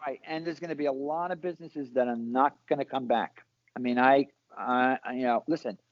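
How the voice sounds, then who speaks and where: Delivered in a New York accent, the speech runs at a fairly quick pace with fairly even intonation. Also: man, medium pitch for a man. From Brooklyn, New York. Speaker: salon owner and hairstylist. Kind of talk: casual interview.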